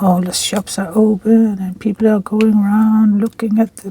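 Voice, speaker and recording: The speaker has a relaxed tone and a Danish accent. Noticeable background noise runs under the voice. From Denmark. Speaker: crafting vlogger. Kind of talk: casual chat while crafting. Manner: relaxed, slightly halting.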